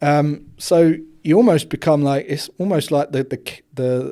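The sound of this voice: The voice has vocal fry and a slightly mellow tone, delivered at a fairly slow pace. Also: man.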